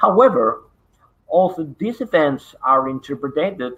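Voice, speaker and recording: A man at a fairly slow pace with lively intonation. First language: Spanish. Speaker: parapsychology researcher. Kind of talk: online conference presentation. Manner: halting, many fillers.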